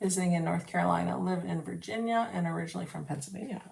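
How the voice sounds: A woman speaks at a fast pace with a fairly low pitch and vocal fry, and the room echo is audible.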